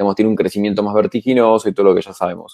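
Talking very fast, a man speaks at a fairly low pitch. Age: 30s. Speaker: podcast co-host. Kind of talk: interview.

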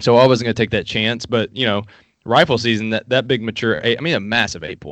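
Speaking at a very fast pace, a man with an Appalachian accent has a bright, sharp tone. His pitch is medium, with ordinary variation. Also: quiet background. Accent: Appalachian Southern US. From US South, Appalachian Kentucky. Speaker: hunting app entrepreneur. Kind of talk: casual interview.

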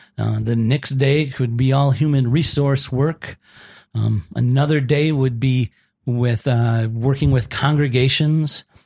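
The speaker has an Upper Midwest accent and a somewhat breathy voice. The pace is fairly slow and the loudness very even. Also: man, medium pitch for a man. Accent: Upper Midwest American. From Minnesota. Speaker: executive director of a camp ministry. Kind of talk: casual interview.

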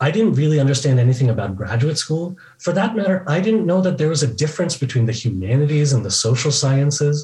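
Speaking in a General American accent, a man uses a fairly high pitch with very wide swings at a fairly quick pace. His tone is dark and mellow and somewhat breathy. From US, California Bay Area. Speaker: professor. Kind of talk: interview.

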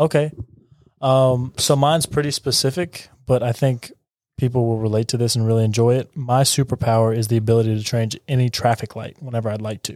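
A man talks at a fairly quick pace with a plain, everyday voice. His pitch is medium and his intonation fairly even. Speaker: podcast host. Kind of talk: casual chat.

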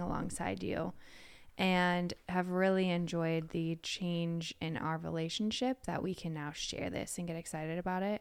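In a very clean recording with a silent background, a woman with a fairly low pitch uses a normal speaking voice at a moderate pace. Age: 30s. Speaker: podcast host. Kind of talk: casual chat.

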